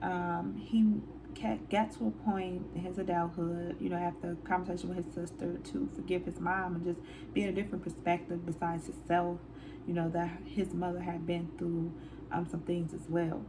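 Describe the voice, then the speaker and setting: A woman talks at a moderate speed, with audible room echo and noticeable background noise in the recording. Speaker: counselor and channel host. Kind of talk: casual movie review. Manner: hesitant, many fillers.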